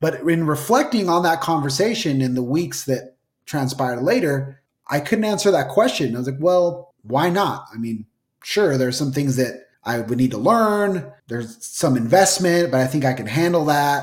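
A man with an American accent, a plain, everyday voice and lively intonation. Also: fairly high pitch for a man, moderate pace. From Utah. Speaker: real estate broker. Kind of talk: interview.

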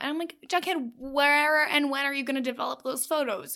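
A woman with a high pitch and a bright, sharp tone speaks in a raised, projected voice at a very fast pace with an animated tone. The recording is very clean with a silent background. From Canada. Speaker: podcast co-host. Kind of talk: casual recap chat.

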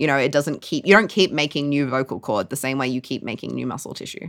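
A woman with an Australian accent speaks at a fairly quick pace with a very deep, low pitch. The recording is very clean, with a silent background. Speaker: science podcast co-host and neuroscientist. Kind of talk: casual comedic science chat. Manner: animated, joking, swears often.

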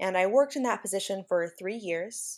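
The recording is very clean, with a silent background, and a woman speaks in a plain, everyday voice at a medium pitch. She talks at a fairly quick pace with an American accent. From California Central Valley. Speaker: special education teacher. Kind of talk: interview.

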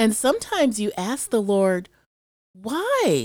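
With an American accent, a woman speaks at a fairly slow pace on a very clean recording with a silent background. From US Midwest, Chicago. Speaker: church member. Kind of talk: casual Bible discussion.

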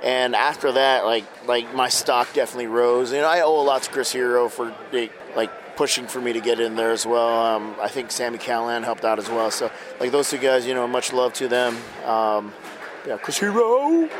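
Over noticeable background noise, a man of medium pitch talks at a moderate pace with fairly even intonation. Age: 50s. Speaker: pro wrestler. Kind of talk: interview. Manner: casual, halting.

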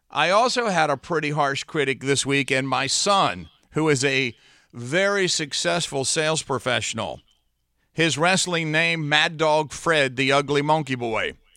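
A man speaks at a fairly slow pace with a fairly high pitch, a bright, sharp tone and ordinary pitch variation. His loudness stays very even in a very clean recording with a silent background. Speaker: podcast host. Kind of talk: motivational talk. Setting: in a wrestling ring. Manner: dramatic pauses; enthusiastic.

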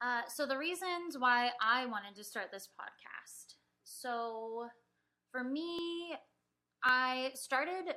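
A woman with an American accent uses a raised, projected voice, high in pitch and bright and sharp in tone. She speaks at a very slow pace with lively intonation and big swings in loudness. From Southern California (Mission Viejo). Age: 30s. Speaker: podcast co-host. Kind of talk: casual chat.

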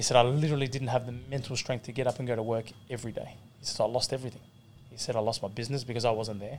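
A man's very fast, monotone, flat delivery in an Australian accent. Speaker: professional boxer. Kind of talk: casual chat. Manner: laid-back.

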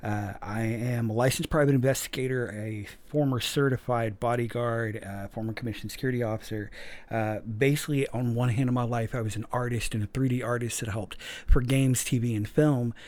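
With a plain, everyday voice, a man talks at a moderate pace and medium pitch, his intonation fairly even. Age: 40s. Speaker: podcast host. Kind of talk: casual monologue.

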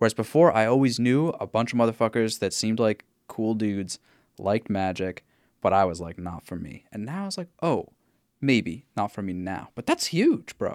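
At a moderate pace, a man with a medium pitch uses lively intonation, recorded with a dry, close sound and no echo. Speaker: podcast host. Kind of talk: casual chat. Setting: video call recorded remotely. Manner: rambling, animated, interrupts.

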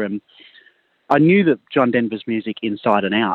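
In an Australian accent, a man speaks at medium pitch and a moderate pace. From rural New South Wales, Australia. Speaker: country singer-songwriter. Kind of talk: radio interview.

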